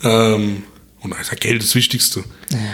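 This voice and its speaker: The man's pace is moderate. Behind him, background noise is noticeable. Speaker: podcast co-host. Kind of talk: casual chat. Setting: at home at his dining table.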